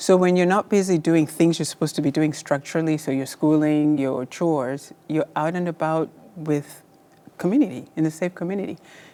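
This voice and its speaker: A woman with a Kenyan accent speaks at a fairly quick pace in a very deep, low pitch. Her tone is dark and mellow, and her intonation is fairly even. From Kenya, rural village. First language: Luo. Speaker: surgeon. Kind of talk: interview.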